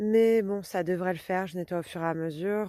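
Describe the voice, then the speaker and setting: The voice has a dark, mellow tone and fairly even intonation. The sound is dry and close, with no echo. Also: woman. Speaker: gardening vlogger. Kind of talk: casual vlog. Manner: conversational, hesitant with fillers.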